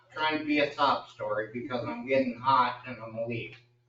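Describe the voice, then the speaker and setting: A man's fairly high voice with ordinary pitch variation and audible room echo. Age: 60s. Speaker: local business owner speaking at public comment. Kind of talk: public comment at council meeting. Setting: city council meeting. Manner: emphatic.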